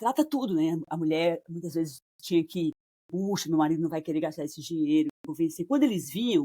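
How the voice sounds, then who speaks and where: A woman's dark, mellow voice at a fairly low pitch, with ordinary pitch variation, in a dry, close sound with no echo. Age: 60s. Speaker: couples therapist. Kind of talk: casual interview conversation.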